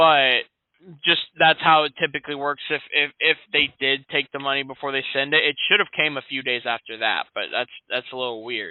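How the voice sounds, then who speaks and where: A man with an American accent has an unremarkable speaking voice, fairly high in pitch. He keeps a moderate pace and fairly even intonation. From Central Florida (Sanford). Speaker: insurance salesman. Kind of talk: sales call. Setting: phone call. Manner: casual, friendly.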